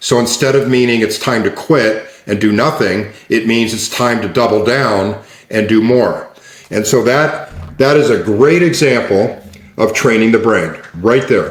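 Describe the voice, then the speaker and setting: A man talks at a fairly slow pace in a medium pitch with ordinary pitch variation. Audible room echo and noticeable background noise surround him. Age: 60s. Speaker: neuroscience coach. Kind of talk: interview conversation. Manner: repetitive restarts.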